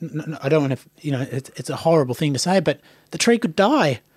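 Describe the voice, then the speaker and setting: Speaking with an Australian accent, a man uses a fairly high pitch and lively intonation at a fairly quick pace, recorded dry and close with no echo. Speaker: podcast host and playwright. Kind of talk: casual chat. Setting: studio.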